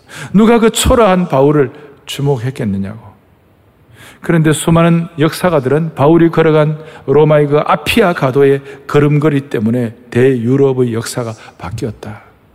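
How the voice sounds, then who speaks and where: Noticeable background noise sits behind a man's fairly high voice. His intonation is lively and his pace moderate. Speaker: pastor. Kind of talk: sermon. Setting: church. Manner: animated, preacherly.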